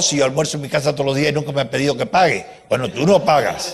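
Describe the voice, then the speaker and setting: The man's voice sits fairly high in pitch and is somewhat breathy. Audible room echo surrounds it. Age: 80s+. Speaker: professor. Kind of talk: lecture. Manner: animated.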